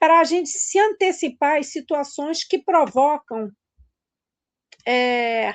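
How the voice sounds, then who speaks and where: A woman's high pitch and lively intonation against a quiet background, dry and close with no echo. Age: 60s. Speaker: weight-loss therapist. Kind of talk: online class talk. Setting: Instagram live. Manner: conversational, hesitant.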